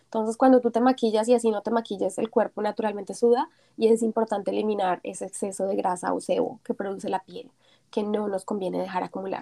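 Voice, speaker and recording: Speaking very fast, a woman uses a fairly high pitch with a dark, mellow tone, vocal fry and fairly even intonation, the sound dry and close with no echo. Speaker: entrepreneur. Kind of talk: interview.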